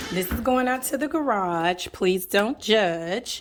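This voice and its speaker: Here a woman speaks at medium pitch with a Southern US accent. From US South. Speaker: home decor vlogger. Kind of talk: home tour vlog. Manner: casual, chatty.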